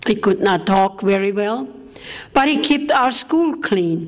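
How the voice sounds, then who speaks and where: There is noticeable background noise behind this woman's voice. She speaks at a medium pitch with lively intonation. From Austria. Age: 80s+. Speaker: war survivor and speaker. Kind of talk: speech to an audience.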